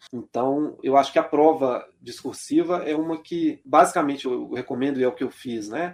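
With an ordinary speaking voice pitched fairly high, a man talks at a moderate pace with fairly even intonation and hardly any pauses. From Belo Horizonte, Minas Gerais, Brazil. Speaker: labour court judge. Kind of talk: interview.

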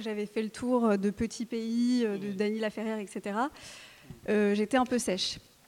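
A woman's fairly slow speech over noticeable background noise. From France, of Algerian Kabyle parents. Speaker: novelist. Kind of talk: literary panel talk. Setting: stage with audience.

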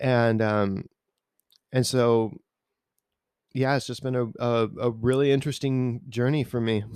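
Long, frequent pauses break up a man's fairly slow, medium-pitched speech, delivered with fairly even intonation. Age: 30s. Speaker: worship musician. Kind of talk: testimony.

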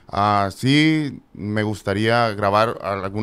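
A man with a normal speaking voice, fairly low in pitch, with ordinary pitch variation. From Mexico, Ensenada, Baja California. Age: 30s. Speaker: musician, requinto guitarist. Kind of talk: casual chat. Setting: studio.

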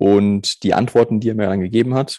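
A man's fairly low, dark, mellow voice in a flat monotone, on a very clean recording with a silent background and a dry, close sound with no echo. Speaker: sales team leader and podcast co-host. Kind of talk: casual chat. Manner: loud.

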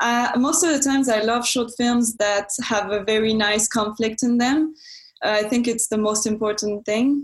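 With a French accent, a woman talks at a fairly high pitch and moderate pace, her intonation fairly even and her loudness very even. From France. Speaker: film student and entrepreneur. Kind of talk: interview. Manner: hesitant, many fillers.

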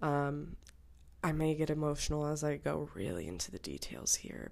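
In a very clean recording with a silent background, a woman speaks at a moderate pace. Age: 20s. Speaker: podcast host. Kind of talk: solo podcast monologue, personal story.

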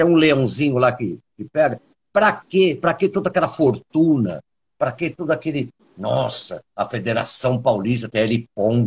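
A somewhat breathy man speaks at a medium pitch with lively intonation. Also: moderate pace. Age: 50s. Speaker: podcast host and musician. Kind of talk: casual chat. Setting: video call.

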